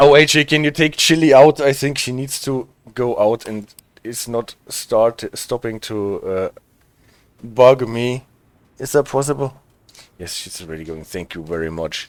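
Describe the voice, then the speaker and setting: A man speaks at a fairly slow pace with long, frequent pauses. His medium-pitched voice has lively intonation. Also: big swings in loudness. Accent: German. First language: German. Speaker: streamer. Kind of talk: casual, chatting with viewers.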